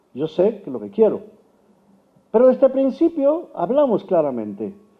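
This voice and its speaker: A man is speaking. His pitch swings very widely. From Mexico. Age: 60s. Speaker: Bible scholar and preacher. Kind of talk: sermon.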